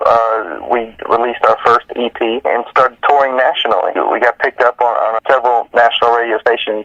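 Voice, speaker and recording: A man of medium pitch speaks with a Southern US accent at a fairly quick pace, his intonation monotone and flat. The sound is dry and close with no echo, though background noise is noticeable. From US South, north Alabama. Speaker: rock band vocalist. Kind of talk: interview. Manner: hesitant, many fillers.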